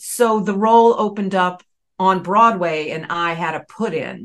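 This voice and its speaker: A woman talks at a medium pitch with an American accent. Her pitch variation is ordinary. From US South, Raleigh, North Carolina. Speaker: Broadway actress. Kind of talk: casual chat.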